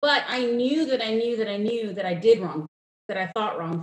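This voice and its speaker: Lively intonation marks an unremarkable speaking voice that moves at a fairly quick pace. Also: woman. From New York suburbs, Indian immigrant family. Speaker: entrepreneur, prayer journal creator. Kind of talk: casual interview chat. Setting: video call from home.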